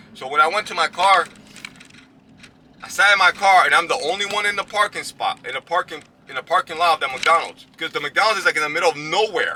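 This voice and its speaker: A high-pitched man talks at a very fast pace in an animated tone with ordinary pitch variation. The sound is dry and close with no echo, though there is noticeable background noise. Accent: American. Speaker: boxing commentator vlogger. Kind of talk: casual storytelling vlog.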